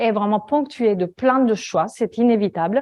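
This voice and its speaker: Over a quiet background, a woman speaks at a fairly slow pace. Her pitch is fairly high, with ordinary variation. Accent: Italian. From Italy. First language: Italian (speaking French). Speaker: data visualization designer. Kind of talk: conference talk. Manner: hesitant, many fillers.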